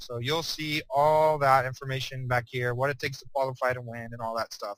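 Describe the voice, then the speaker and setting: Flat, monotone delivery at a fairly quick pace. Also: man, medium pitch for a man. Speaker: program owner presenting a business opportunity. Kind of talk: webinar product presentation. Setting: online webinar. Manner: fast; casual, hesitant with fillers.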